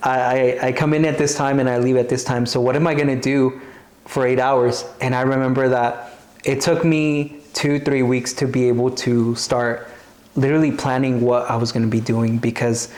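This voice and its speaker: Over noticeable background noise and audible room echo, a man at medium pitch speaks at a moderate pace with very even loudness and monotone, flat intonation. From US South, Arkansas. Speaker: TV host. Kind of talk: interview conversation. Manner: casual, with many fillers and repetitions.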